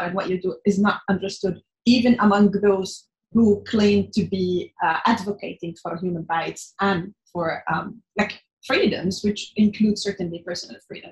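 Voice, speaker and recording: At a fairly slow pace, a somewhat breathy woman speaks at medium pitch with ordinary variation. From northern Syria (Idlib). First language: Arabic. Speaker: journalist and activist. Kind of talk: interview. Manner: halting, with many fillers.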